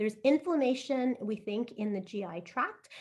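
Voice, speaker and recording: This woman's voice sits fairly high and sounds somewhat breathy, with lively intonation throughout. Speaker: IBD physician and clinical researcher. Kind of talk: lecture. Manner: fast.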